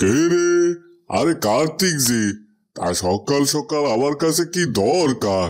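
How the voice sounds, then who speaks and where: Using a cartoonish character voice, a man with a fairly high pitch makes very wide pitch swings at very even loudness and a moderate pace. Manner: condescending.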